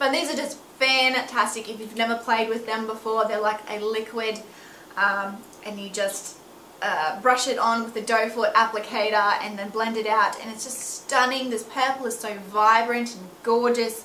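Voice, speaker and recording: Speaking at a moderate pace with big swings in loudness, a woman with a fairly high pitch is heard through audible room echo and noticeable background noise. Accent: Australian. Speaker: beauty vlogger and makeup artist. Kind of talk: product review vlog. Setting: at home. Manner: animated.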